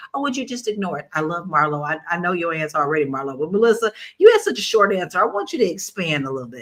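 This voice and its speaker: A woman with a Southern US accent talks at a very fast pace with hardly any pauses, her fairly low pitch swinging very widely and her loudness rising and falling sharply. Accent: Southern country twang. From Kentucky, US South. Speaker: talk show host. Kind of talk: casual panel discussion.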